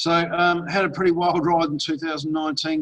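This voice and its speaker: A man speaks in an Australian accent. His pace is moderate. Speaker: online marketer and investment presenter. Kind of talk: webinar presentation. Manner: casual, conversational.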